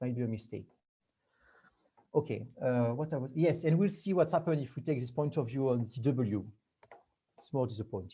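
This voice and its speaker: Somewhat breathy, a man with a dark, mellow tone and medium pitch talks at a fairly quick pace with lively intonation and long, frequent pauses. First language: not English. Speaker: researcher giving a talk. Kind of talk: lecture. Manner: halting.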